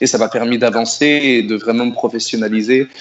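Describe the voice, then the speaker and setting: Over noticeable background noise, a man talks at a medium pitch in a monotone, flat delivery. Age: 30s. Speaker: singer-songwriter. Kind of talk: radio interview. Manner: hesitant, many repetitions.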